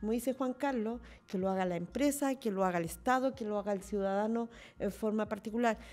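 With faint music in the background, a woman with a fairly high pitch speaks with ordinary pitch variation. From Chile, Santiago; Chile. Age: 50s. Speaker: mayor. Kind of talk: panel discussion. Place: studio. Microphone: studio mic.

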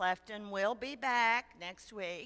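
A woman's voice at a fairly slow pace, with ordinary pitch variation. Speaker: lay preacher leading worship. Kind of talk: church welcome announcements. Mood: warm, welcoming. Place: church.

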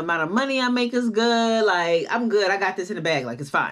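Lively intonation runs through a woman's speech. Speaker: vlogger. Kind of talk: casual vlog chat, personal story. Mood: upbeat, animated.

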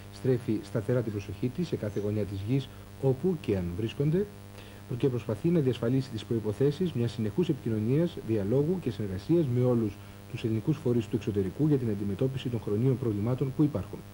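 Music plays in the background as a man with a medium pitch talks at a fairly quick pace with ordinary pitch variation. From Greece. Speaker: news presenter. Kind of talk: 1984 TV news bulletin, formal scripted newsreading. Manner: formal, measured, steady and authoritative. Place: studio. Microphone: lapel.

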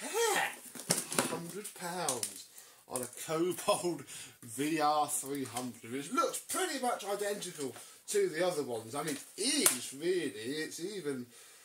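A man speaks at a very slow pace with lively intonation. Noticeable background noise runs beneath him. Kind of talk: casual unboxing vlog chat. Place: home room. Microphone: camera far.

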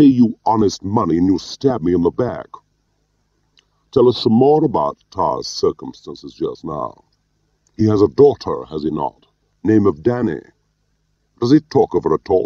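Using a put-on character voice, a man speaks low and dark, with a mellow tone, big pitch swings, a fairly slow pace and long, frequent pauses. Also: dry, close sound with no echo.

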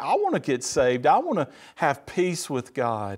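A man with a Mississippi accent speaks over a quiet background. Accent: Southern US (Mississippi). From US South, Mississippi. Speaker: church member giving testimony; speaker. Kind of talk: testimony; sermon-style testimony. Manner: halting, repeats words. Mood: earnest, warm. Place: studio. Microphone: lapel.

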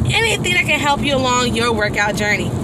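A woman's voice comes through dry with no echo, over loud background noise. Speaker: vlogger. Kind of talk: casual vlog chat. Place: car. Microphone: phone near.

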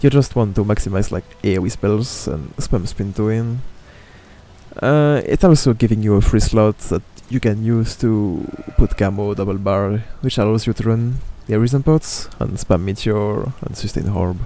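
A man with a non-native accent speaks at a fairly low pitch. His pace is moderate and his pitch variation ordinary. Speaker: video game streamer and guide maker. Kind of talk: game guide commentary. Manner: casual, hesitant.

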